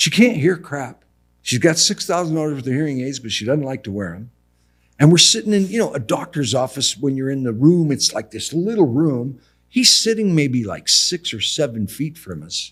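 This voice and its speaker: At a moderate pace, a man with a fairly high pitch uses an animated tone, very wide pitch swings and big swings in loudness. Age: 60s. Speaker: building contractor. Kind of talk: casual chat. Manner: animated storytelling.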